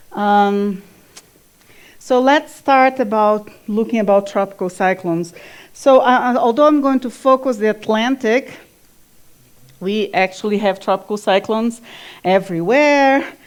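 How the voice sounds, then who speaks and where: With a Brazilian Portuguese accent, a woman with a fairly high pitch and ordinary pitch variation speaks at a fairly slow pace, leaving long, frequent pauses. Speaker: climate scientist. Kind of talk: lecture. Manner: halting, with fillers.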